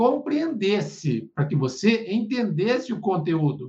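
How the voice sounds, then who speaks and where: A man's high-pitched, very slow speech with very wide pitch swings. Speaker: theology and religious studies tutor. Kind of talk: academic interview.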